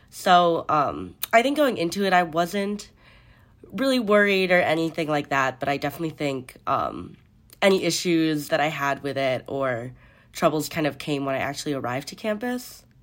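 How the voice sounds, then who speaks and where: Someone speaks at a moderate pace with an American accent. The recording is very clean, with a silent background. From US Midwest, Chicago. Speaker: college student. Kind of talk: interview.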